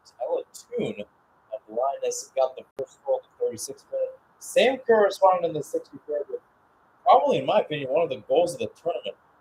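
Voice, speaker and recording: A man at a very fast pace, with a dry, close sound and no echo. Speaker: radio play-by-play sports commentator. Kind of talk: live sports play-by-play commentary. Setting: speaking from Phoenix, Arizona, at an early-morning hour.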